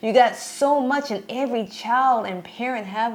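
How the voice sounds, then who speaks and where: This woman talks with an American accent, and noticeable noise can be heard behind her. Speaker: podcast co-host. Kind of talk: casual chat.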